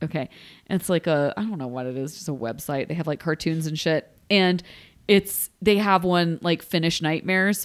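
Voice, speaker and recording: On a very clean recording with a silent background, a woman speaks at a moderate pace, fairly low in pitch, with ordinary pitch variation. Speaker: podcast co-host. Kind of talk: casual chat. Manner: laughs often.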